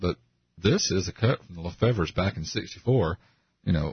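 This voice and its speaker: This man's voice is somewhat breathy, with ordinary pitch variation and big swings in loudness. He keeps a moderate pace. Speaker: radio co-host. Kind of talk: radio interview. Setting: studio.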